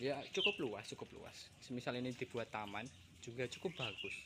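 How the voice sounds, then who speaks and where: Speaking at a fairly quick pace, a man with a medium pitch uses ordinary pitch variation. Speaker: vlogger. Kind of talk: casual vlog narration. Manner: halting.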